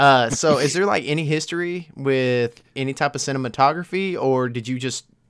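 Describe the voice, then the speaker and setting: He speaks in a plain, everyday voice at a moderate pace. His pitch is medium, with ordinary variation. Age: 20s. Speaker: podcast host. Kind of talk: casual chat.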